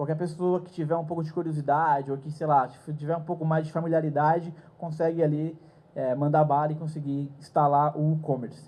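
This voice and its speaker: Audible room echo surrounds a man talking at a fairly quick pace. His voice is fairly high-pitched, with a dark, mellow tone. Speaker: conference speaker. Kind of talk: lecture. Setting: stage with audience.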